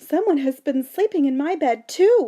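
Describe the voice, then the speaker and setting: A woman puts on a character voice pitched high. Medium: read story.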